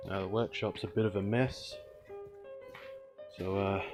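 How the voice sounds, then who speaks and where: Background music runs under speech delivered at a moderate pace. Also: man. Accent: Australian. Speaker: car restorer, auto parts dismantler. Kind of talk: casual talk to camera. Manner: casual, sweary.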